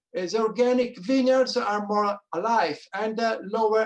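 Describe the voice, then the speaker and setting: A man talks in an Italian accent. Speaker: wine grower. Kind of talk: panel discussion. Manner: halting.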